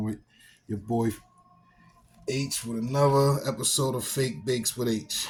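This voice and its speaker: With music playing in the background, a man speaks with fairly even intonation and long, frequent pauses. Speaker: home baking video host. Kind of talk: casual video outro. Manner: casual, hesitant with fillers.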